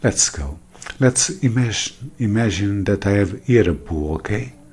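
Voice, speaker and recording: The speaker has a Portuguese accent and talks at a fairly slow pace against noticeable background noise. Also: man. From Portugal. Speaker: math teacher. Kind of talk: tutorial. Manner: halting.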